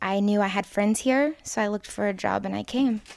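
A woman at medium pitch is captured in a very clean recording with a silent background, the sound dry and close with no echo. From Texas, Dallas. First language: English (speaking French). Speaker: babysitter. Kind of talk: interview.

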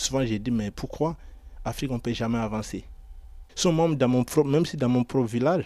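A man at medium pitch, with ordinary pitch variation, is heard in a very clean recording with a silent background. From Ivory Coast. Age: 20s. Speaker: aspiring footballer and construction worker. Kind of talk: radio portrait interview. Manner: halting.

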